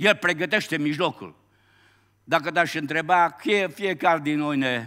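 Against a quiet background, a man speaks in an animated way with a bright, sharp tone. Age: 70s. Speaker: pastor. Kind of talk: sermon. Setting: church. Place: church.

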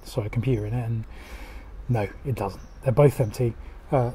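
A man talks at a very fast pace in a dark, mellow tone, somewhat breathy, over light background noise. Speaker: retro game hunter vlogger. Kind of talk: casual vlog commentary. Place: shop. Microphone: phone near.

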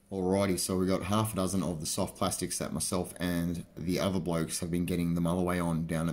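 A man speaks at a low pitch with little pitch movement and a slightly mellow tone. He keeps a fairly quick pace with few pauses.

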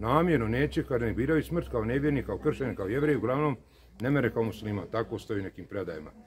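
A man's very fast, lively speech over light background noise. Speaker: speaker. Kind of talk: religious talk to camera. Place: street. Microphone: phone near.

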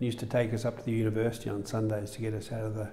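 A man with an Australian accent speaks at a very fast pace in a flat monotone. His tone is dark, mellow and somewhat breathy. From Melbourne, Australia. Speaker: surgeon. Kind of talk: interview. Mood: calm reminiscing. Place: studio. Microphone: lapel.

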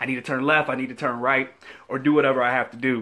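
The background is quiet. A man talks at a very fast pace. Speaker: faith vlogger. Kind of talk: casual vlog chat, inspirational talk. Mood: humorous, upbeat. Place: office. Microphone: headset.

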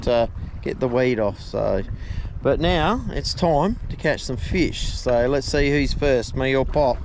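The speech comes at a fairly slow pace with ordinary pitch variation, the sound dry with no echo but with noticeable background noise. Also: man. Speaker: fishing vlogger. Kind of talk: casual vlog chat. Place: boat. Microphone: phone near.

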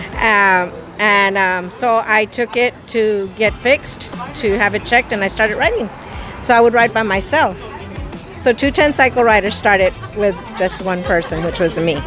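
A woman speaks with a dry sound and no echo. Clear music plays in the background. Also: ordinary pitch variation, moderate pace. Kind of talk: interview answer. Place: street. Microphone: handheld.

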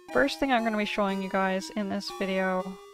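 A woman speaks with clear music in the background, the sound dry with no echo. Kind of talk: tutorial commentary.

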